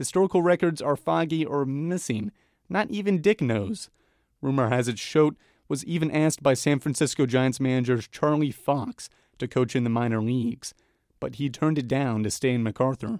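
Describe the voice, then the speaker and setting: At a moderate pace, a man with medium pitch and lively intonation talks in an unremarkable speaking voice, the sound dry and close with no echo. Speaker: podcast reporter and host. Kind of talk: scripted narration.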